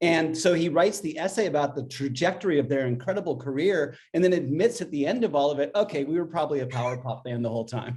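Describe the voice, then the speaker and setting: Very fast, lively speech from a man with an American accent, fairly high in pitch, with hardly any pauses. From US, southern California. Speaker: author and musician. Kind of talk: casual chat.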